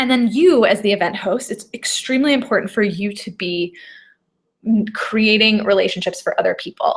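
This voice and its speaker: Her voice is fairly high for a woman and somewhat breathy, with ordinary pitch variation. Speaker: event and business coach. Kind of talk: live webinar. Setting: live video stream. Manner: fast; animated.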